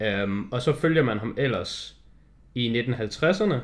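A man talks at a very slow pace, captured in a very clean recording against a silent background. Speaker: film podcast co-host. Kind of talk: casual chat. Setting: studio. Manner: halting.

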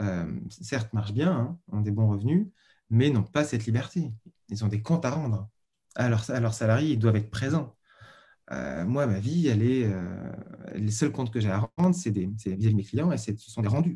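A man speaks at a moderate pace in a medium-pitched, dark, mellow, somewhat breathy voice with lively intonation and long, frequent pauses. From Paris region, France. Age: 40s. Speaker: freelance designer. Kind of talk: interview.

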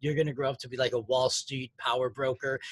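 A man speaks in an energetic, animated tone. His voice is somewhat breathy. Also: dry, close sound with no echo. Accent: American. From US Midwest, Chicago North Side. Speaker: podcast host. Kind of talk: casual interview chat.

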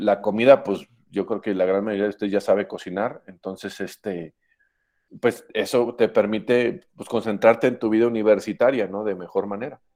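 Fairly even intonation marks this man's dark, mellow tone and fairly low pitch as he speaks at a moderate pace. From Mexico, Aguascalientes. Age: 40s. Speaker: engineering professor. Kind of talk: talk to students with Q&A.

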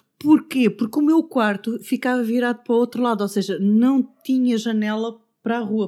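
A woman's dark, mellow voice with a European Portuguese accent, moderate pace and ordinary pitch variation, on a very clean recording with a silent background. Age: 50s. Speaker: podcast fan and office worker. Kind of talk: casual chat. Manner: halting.

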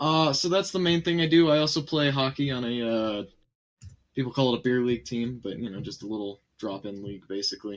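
A man's ordinary speaking voice at medium pitch, with lively intonation and a fairly quick pace. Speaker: streamer guest. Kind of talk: casual chat on live stream. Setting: live stream.

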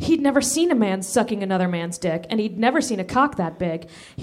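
Plain reading aloud with lively intonation

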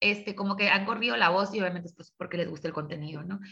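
A woman's bright, sharp tone. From Tijuana, Baja California, Mexico. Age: 30s. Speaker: lawyer and social media creator. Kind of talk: interview.

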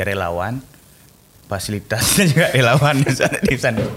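A man speaks with an Aceh accent. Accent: Acehnese. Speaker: podcast host. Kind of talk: casual interview. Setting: studio.

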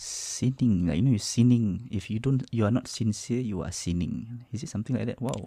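A man talks fairly quickly at a medium pitch, with a Malaysian accent. His tone is dark and mellow. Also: ordinary pitch variation, hardly any pauses. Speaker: podcast co-host. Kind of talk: casual chat. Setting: studio.

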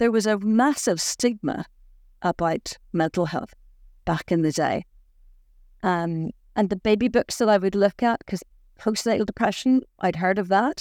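A woman with a Northern Irish accent speaks at a moderate pace and medium pitch with ordinary pitch variation and long, frequent pauses, the sound dry and close with no echo. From Northern Ireland, County Down. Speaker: broadcaster. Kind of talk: interview. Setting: recorded on location in Belfast.

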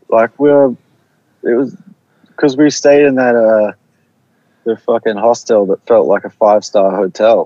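Moderate pace and ordinary pitch variation in an ordinary speaking voice. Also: man. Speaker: artist and singer guest. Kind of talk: casual interview chat. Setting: sitting in a car, remote call.

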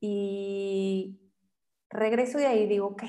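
An ordinary speaking voice from a woman, medium pitch with ordinary pitch variation. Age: 40s. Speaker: photographer. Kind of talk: casual interview chat. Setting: studio.

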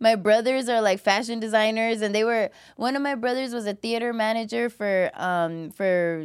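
A woman with an American accent and a plain, everyday voice speaks at a moderate pace with a fairly high pitch and ordinary pitch variation. The recording is very clean, with a silent background. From Los Angeles (Cudahy, East LA outskirts). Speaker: comedian and podcast producer. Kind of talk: casual interview. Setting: studio.

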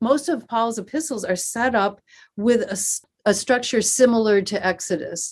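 With an American accent, a woman speaks at a fairly slow pace with lively intonation in an unremarkable speaking voice. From US Northeast (Western New York). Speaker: seminary professor of Old Testament. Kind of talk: interview.

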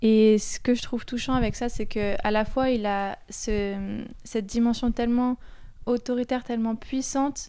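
In a fairly high voice with a dark, mellow tone, a woman talks at a moderate pace with fairly even intonation. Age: 20s. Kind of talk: casual faith discussion.

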